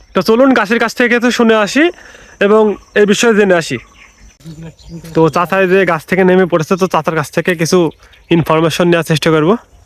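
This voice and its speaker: A man speaks in a high voice with ordinary pitch variation and very even loudness. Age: 20s. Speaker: vlogger. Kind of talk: vlog intro to camera.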